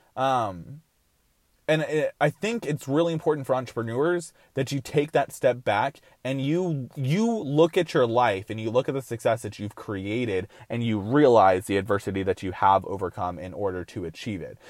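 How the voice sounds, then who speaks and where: A man with a plain, everyday voice speaks at medium pitch and a moderate pace with lively intonation, the sound dry and close with no echo and the recording very clean over a silent background. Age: 20s. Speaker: podcast host and entrepreneur. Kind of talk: motivational monologue.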